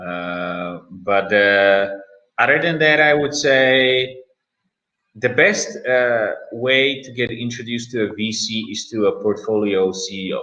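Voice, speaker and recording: With a Czech accent, a man talks at medium pitch in a bright, sharp tone, his loudness swinging widely while his pitch varies in an ordinary way. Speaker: startup investor. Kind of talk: panel discussion. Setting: live-streamed virtual event. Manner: hesitant, many fillers.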